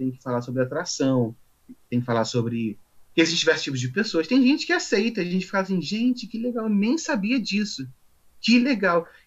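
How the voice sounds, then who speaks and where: A man's high-pitched voice at a fairly quick pace, with very wide pitch swings. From Rio de Janeiro, Brazil. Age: 20s. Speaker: office assistant, interviewee. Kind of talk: interview.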